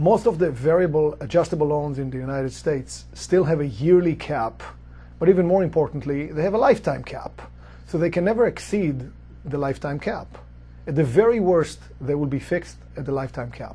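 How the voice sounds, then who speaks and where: Big swings in loudness run through a man's fairly quick speech, delivered with a non-native accent. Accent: foreign. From outside the US. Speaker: real estate investor, company executive. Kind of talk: explainer talk to camera.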